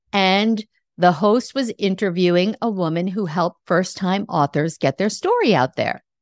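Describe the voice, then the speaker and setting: With a normal speaking voice, a woman at a medium pitch talks at a moderate pace with lively intonation, the sound dry and close with no echo on a very clean recording with a silent background. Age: 60s. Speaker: podcast host and life coach. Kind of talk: solo podcast monologue.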